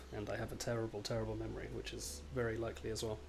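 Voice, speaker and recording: Very fast speech in a British accent, with audible room echo and noticeable background noise. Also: man. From Britain. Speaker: game developer streamer. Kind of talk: casual live stream chat while coding. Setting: live stream. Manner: rambling to himself.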